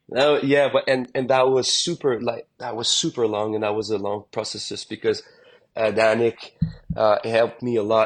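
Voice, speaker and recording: A man at a moderate pace, with a strong French-Canadian accent. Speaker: country singer. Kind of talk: casual interview chat. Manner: halting, many repetitions.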